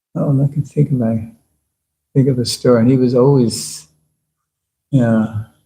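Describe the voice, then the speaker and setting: Dark, mellow tone at a moderate pace, with fairly even intonation. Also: man. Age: 70s. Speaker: spiritual teacher. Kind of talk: lecture Q&A.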